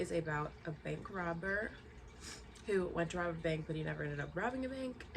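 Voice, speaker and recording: A woman with a fairly low voice speaks over noticeable background noise, with audible echo in the room. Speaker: booktuber. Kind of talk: casual chat.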